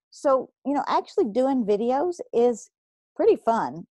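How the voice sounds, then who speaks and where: A woman with a Kentucky accent speaks at a fairly slow pace, the sound dry and close with no echo. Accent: Southern US (Kentucky). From Kentucky, US South. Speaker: podcast host, blogger and entrepreneur. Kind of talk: solo podcast monologue, motivational business advice. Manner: casual, filler-heavy (um, uh); expressive, talks with her hands.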